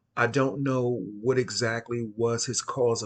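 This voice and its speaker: A man speaks at a very slow pace. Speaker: occult channel host. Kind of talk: casual monologue. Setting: at home at night.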